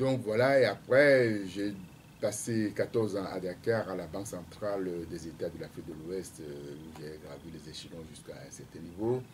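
Over light background noise, a man with a very deep, low, somewhat breathy voice speaks at a fairly slow pace, his intonation lively and his loudness swinging widely. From Togo, Lacs prefecture. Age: 60s. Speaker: presidential candidate, economist. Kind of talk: radio interview. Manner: hesitant, many fillers. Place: studio. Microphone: studio mic.

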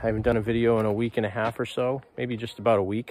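The recording of this man's voice is dry, without any echo. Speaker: hobbyist vlogger. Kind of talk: casual vlog chat. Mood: upbeat, relaxed. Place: garden. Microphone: phone near.

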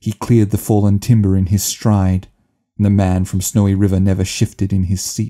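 With an Australian accent, a man speaks at a fairly low pitch in a dark, mellow tone and monotone, flat intonation. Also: moderate pace. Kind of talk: poetry reading.

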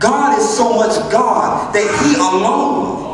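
Noticeable background noise and strong room echo surround a man's voice. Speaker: church speaker delivering a spoken word message. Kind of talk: preaching, spoken word sermon to a congregation. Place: church. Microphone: pa.

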